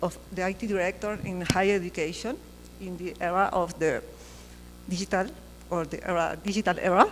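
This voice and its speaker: A woman with a medium pitch speaks at a fairly quick pace in a flat monotone. Long, frequent pauses break up her speech. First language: Spanish. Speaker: university IT director. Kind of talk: conference talk. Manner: halting.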